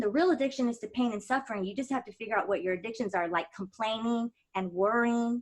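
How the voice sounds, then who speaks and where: An animated woman's voice, fairly high-pitched, with ordinary pitch variation, a very fast pace and hardly any pauses. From Texas, San Antonio. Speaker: mindfulness coach. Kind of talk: interview.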